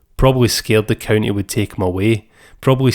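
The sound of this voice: The reading voice is unforced, and its pitch shifts by ordinary amounts.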